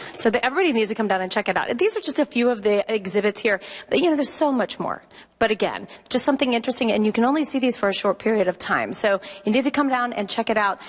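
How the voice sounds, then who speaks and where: A woman's fairly high voice, very fast pace and ordinary pitch variation over noticeable background noise. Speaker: TV news reporter. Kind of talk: live TV field interview. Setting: museum gallery, live broadcast. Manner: loud. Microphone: voice echoing in the room.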